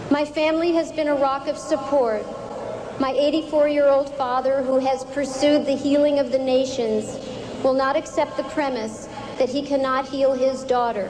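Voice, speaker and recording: Against noticeable background noise, a woman with an American accent speaks at a moderate pace in a high pitch, with very even loudness and monotone, flat intonation. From United States. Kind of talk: political convention speech. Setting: public podium, live audience. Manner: solemn, earnest.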